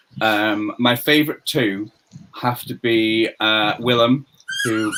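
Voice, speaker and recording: A man with a Liverpool accent. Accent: Scouse. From northern England, Merseyside. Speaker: quiz contestant. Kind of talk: casual interview chat.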